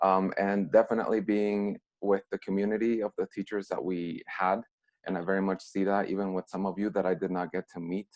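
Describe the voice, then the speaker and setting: In a Mexican accent, a man speaks at a moderate pace with a fairly low pitch and monotone, flat intonation. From Mexico. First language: Spanish. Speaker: former student, alumni speaker. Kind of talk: video call talk to students.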